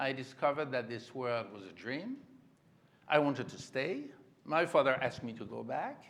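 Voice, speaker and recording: A man with a French accent at medium pitch, ordinary pitch variation, moderate pace, long and frequent pauses, big swings in loudness and audible room echo. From France. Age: 70s. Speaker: creative director of a textile house. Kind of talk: onstage interview.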